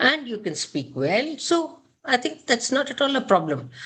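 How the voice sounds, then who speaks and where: A woman speaks at a moderate pace in a Kannada accent. Her pitch swings very widely. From India, Karnataka. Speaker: gynaecologist. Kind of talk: interview.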